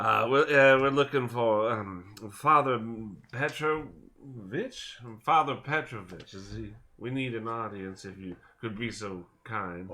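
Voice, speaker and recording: Putting on a gruff character voice, a man talks at a fairly slow pace with medium pitch. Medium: actual play.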